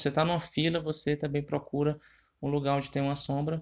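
This is a very clean recording of a man against a silent background. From Ceará, northeastern Brazil. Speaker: marketing tips presenter. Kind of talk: informal marketing tutorial. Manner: halting, with many filler hesitations.

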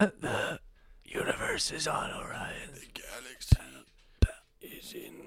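A put-on character voice, raspy and fairly slow. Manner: squeaky, mock-serious.

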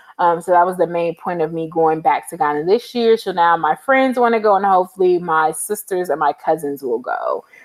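A woman with an American accent speaks in an unremarkable speaking voice, fairly low in pitch with ordinary pitch variation. Her pace is fairly quick, with hardly any pauses. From Los Angeles, California. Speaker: travel blogger. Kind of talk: casual interview.

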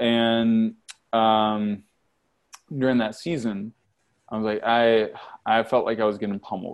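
A man speaks in a monotone, flat intonation at a fairly slow pace, with long, frequent pauses. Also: medium pitch for a man. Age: 40s. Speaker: entrepreneur and business mentor. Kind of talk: interview. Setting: video call.

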